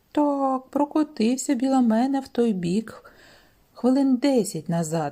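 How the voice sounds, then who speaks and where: In a very clean recording with a silent background, a woman does a put-on character voice, creaky and high-pitched, at a fairly slow pace. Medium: read story.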